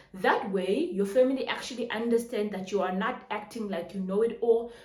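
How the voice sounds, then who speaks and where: Over noticeable background noise and audible room echo, a woman speaks at a fairly quick pace. Her pitch is fairly high with ordinary variation. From Namibia. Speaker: personal finance YouTuber. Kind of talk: tutorial. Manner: fast.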